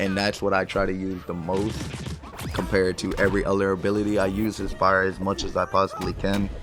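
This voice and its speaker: A man's fairly low, monotone voice with flat intonation over noticeable background noise. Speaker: gaming YouTuber. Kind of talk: casual commentary.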